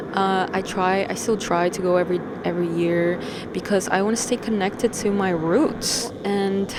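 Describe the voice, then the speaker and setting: This woman has a New York accent and a moderate pace. Her intonation is fairly even over noticeable background noise. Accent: New York American English. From Peru (Lima/Callao area), moved to New York at 10. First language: Spanish. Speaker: vlogger. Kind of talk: casual vlog monologue. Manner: casual, slangy, profane.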